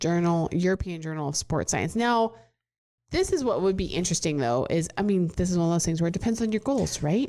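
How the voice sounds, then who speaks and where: A woman with a Nebraskan accent talks at a fairly quick pace in a fairly low pitch with a dark, mellow tone. Her intonation is lively and her loudness very even. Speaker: fitness professional, podcast co-host. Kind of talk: casual chat.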